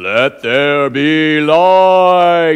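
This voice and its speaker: A man does a put-on character voice at a fairly high pitch. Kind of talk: sermon. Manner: grand, booming.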